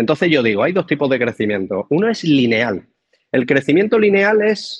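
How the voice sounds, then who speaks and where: A man with a fairly high voice speaks at a moderate pace, his pitch swinging very widely, in a dry, close recording with no echo. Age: 40s. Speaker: real estate mentor. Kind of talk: interview.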